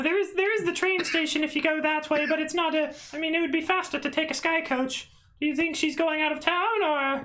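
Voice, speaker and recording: In a put-on character voice, a female-sounding speaker squeaks at an extremely high pitch and a fairly quick pace. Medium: actual play. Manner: huffing and hawing, stammering.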